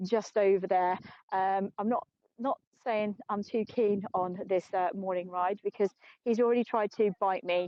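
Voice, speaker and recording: The speaker has an English accent. The intonation stays fairly even. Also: woman. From England. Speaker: tour guide. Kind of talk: live guided tour. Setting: outdoors in the desert. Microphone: phone on gimbal, clip mic.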